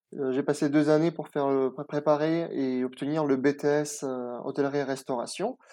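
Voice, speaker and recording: A man speaks at a fairly slow pace in a fairly high voice, his intonation monotone and flat and his tone dark and mellow, over a quiet background. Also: hardly any pauses. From France, Nice. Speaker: chef. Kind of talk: interview. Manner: halting.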